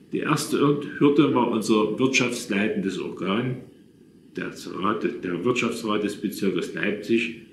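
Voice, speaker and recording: A fairly slow voice with ordinary pitch variation, heard over light background noise with audible room echo. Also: man. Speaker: storyteller recalling his past. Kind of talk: reading personal memoir. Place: home room. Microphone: phone near.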